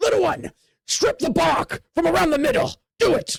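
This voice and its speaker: Someone shouts in a put-on character voice that is raspy and extremely high in pitch. The pace is moderate. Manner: yelling, commanding.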